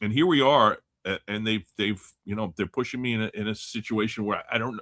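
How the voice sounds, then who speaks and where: At a fairly quick pace, an ordinary speaking voice carries ordinary pitch variation. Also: man, fairly low pitch for a man. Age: 60s. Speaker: sports card collector and podcast panelist. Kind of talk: casual panel chat on live call-in show.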